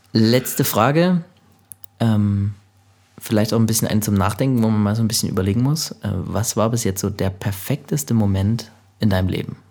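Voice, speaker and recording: In a normal speaking voice, the speaker keeps a moderate pace and very even loudness, with ordinary pitch variation. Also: man, fairly low pitch for a man. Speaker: podcast host. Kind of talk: casual interview. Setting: music studio lounge.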